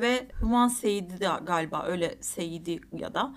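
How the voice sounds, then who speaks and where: A woman's medium-pitched voice with ordinary pitch variation over noticeable background noise. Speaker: film podcast co-host. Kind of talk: casual chat.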